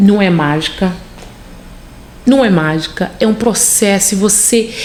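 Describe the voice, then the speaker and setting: A woman speaks in a relaxed tone with a Rio de Janeiro accent, at a fairly slow pace and with ordinary pitch variation. Noticeable background noise is present. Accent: Carioca Brazilian Portuguese. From Rio de Janeiro, Brazil. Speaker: nurse. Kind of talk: interview answer. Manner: relaxed, chatty.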